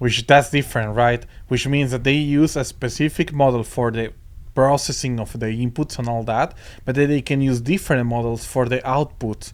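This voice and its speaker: A man speaks at a moderate pace, his medium-pitched voice keeping a fairly even intonation. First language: Spanish. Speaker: podcast co-host. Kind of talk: casual chat. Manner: halting, many repetitions and fillers.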